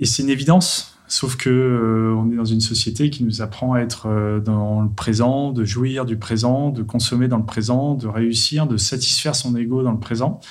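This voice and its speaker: The speaker keeps a moderate pace with hardly any pauses. Noticeable background noise is present. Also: man, medium pitch for a man, fairly even intonation. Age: 40s. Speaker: tech entrepreneur. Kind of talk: testimony.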